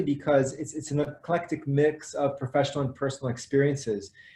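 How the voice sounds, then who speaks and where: Amid noticeable background noise, a man talks at a fairly quick pace in a fairly high pitch. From France. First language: French. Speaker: educator. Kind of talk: webinar introduction. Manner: halting.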